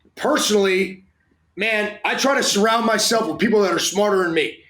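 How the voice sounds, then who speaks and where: A loud, high-pitched man's voice with a bright, sharp tone at a moderate pace. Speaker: strength and conditioning coach. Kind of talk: interview. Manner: animated.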